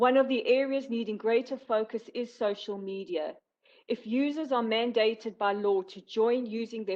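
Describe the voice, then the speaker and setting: A woman with a South African accent is talking. Her pitch is fairly high and her pace is moderate. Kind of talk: prepared speech at a virtual meeting. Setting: virtual meeting. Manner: formal.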